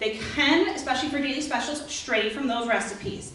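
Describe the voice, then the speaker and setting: The speech moves at a fairly quick pace. There is audible room echo and noticeable background noise. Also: woman. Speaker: dining services manager at senior living community. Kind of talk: informational talk to residents. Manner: fast.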